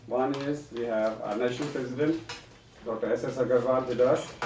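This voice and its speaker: Male voice at a medium pitch, moderate pace and fairly even intonation, with noticeable background noise and audible room echo. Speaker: doctor hosting a medical association webcast. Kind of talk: live webcast introduction. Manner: halting with frequent fillers.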